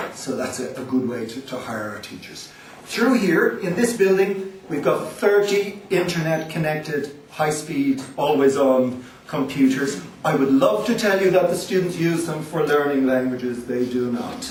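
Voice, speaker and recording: A man with a Dublin accent talks with lively intonation and big swings in loudness. Audible room echo and noticeable background noise fill the recording. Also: fairly high pitch for a man, moderate pace. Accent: typical Dublin. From Ireland, Dublin. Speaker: language school director. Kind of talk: presentation to visiting agents.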